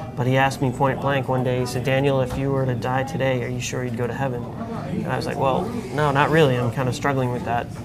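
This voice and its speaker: A man with an American accent talks very fast, hardly pausing, in a flat monotone over loud background noise. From Long Island, New York; New York. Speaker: author sharing faith testimony; interview guest. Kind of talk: interview testimony. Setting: coffee shop. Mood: earnest, conversational storytelling. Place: cafe. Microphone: lapel.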